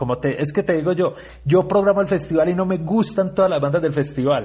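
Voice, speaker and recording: A man's somewhat breathy, dark and mellow voice at a fairly quick pace with ordinary pitch variation. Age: 40s. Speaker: rock festival curator and musician. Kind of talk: interview.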